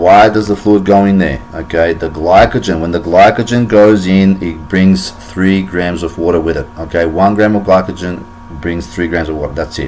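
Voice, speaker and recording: Noticeable background noise around a man's very deep, low voice, moderate in pace, with ordinary pitch variation. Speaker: fitness vlogger. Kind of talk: tutorial. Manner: many fillers and repetitions.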